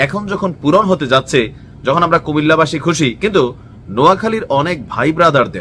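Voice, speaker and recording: Here a man is talking. His intonation is lively. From Bangladesh, Comilla. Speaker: social media commentator. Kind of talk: opinion vlog. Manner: animated.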